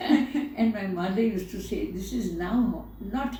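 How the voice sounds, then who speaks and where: A woman's fairly high voice at a very slow pace, with very wide pitch swings and audible room echo. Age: 70s. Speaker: spiritual teacher and poet. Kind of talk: poetry reading; interview. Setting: at home altar, video recording. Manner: repetitive, measured.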